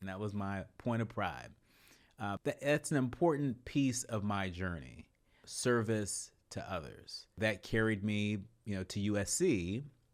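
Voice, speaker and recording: Here a man with a West Coast American accent talks at a fairly slow pace, his fairly low voice rising and falling with lively intonation. The recording is very clean, with a silent background. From San Francisco Bay Area, California. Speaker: political journalist and professor. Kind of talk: podcast interview. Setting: face-to-face conversation.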